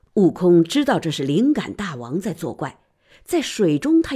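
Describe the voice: The background is quiet. The delivery is plain reading aloud.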